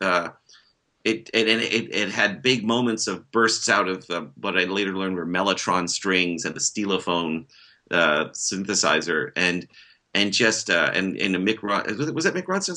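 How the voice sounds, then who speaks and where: A man talks at a moderate pace. His tone is bright and sharp, and his intonation is lively. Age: 50s. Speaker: author and musician. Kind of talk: casual chat.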